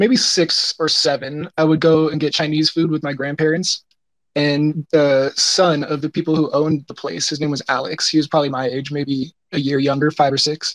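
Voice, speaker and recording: An ordinary speaking voice moves at a moderate pace with fairly even intonation, in a dry, close sound with no echo. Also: man, fairly high pitch for a man. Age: 20s. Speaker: artist. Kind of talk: interview. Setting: live audio chat room.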